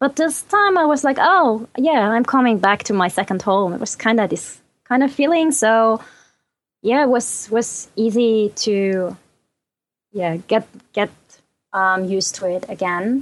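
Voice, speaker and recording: In a quiet background, a woman talks at a fairly slow pace and a fairly high pitch. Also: lively intonation. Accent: German. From Germany. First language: German.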